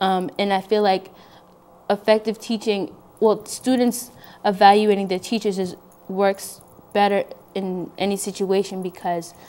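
A woman speaks in a monotone, flat intonation at a fairly slow pace, with long, frequent pauses. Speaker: guest. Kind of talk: interview answer. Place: studio.

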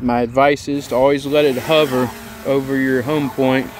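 Loud background noise surrounds a man speaking at a very slow pace, the sound dry with no echo. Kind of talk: tutorial.

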